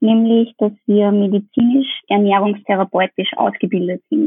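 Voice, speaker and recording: A woman talks at a moderate pace, her pitch fairly high with ordinary variation. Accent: Austrian. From Upper Austria. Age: 20s. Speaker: dietitian. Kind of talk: interview.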